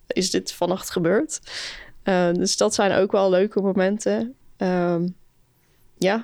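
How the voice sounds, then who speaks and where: On a very clean recording with a silent background, a woman with a medium pitch and a dark, mellow tone speaks at a very slow pace with long, frequent pauses, very even loudness and ordinary pitch variation. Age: 20s. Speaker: summer camp leader. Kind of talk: casual interview.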